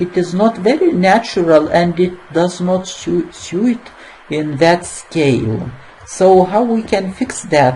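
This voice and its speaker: Very slow speech with a non-native accent over noticeable background noise. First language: not English. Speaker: software tutorial maker. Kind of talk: screen-recorded tutorial. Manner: halting, many fillers.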